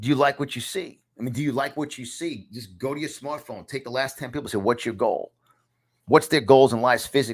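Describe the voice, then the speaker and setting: Speaking in an animated tone with a New York accent, a man moves at a fairly quick pace on a very clean recording with a silent background. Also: medium pitch for a man. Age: 50s. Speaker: podcast host and self-help author. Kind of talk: motivational teaching from own book. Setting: studio.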